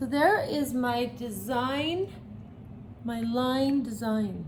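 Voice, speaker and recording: A woman in an animated tone, with audible room echo. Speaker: art teacher for children. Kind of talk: tutorial.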